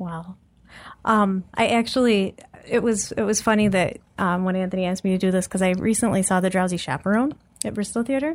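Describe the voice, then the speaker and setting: Here is a plain, everyday voice from a woman at medium pitch with ordinary pitch variation. She goes at a fairly quick pace on a very clean recording with a silent background. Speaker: guest with theater degree, ops analyst. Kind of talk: casual chat. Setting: studio.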